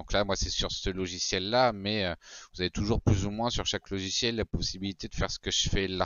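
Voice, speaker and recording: A man with a normal speaking voice, fairly low in pitch, at a moderate pace with ordinary pitch variation, in a dry sound with no echo and a quiet background. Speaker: tech tutorial host. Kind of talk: tutorial. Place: home room. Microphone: headset.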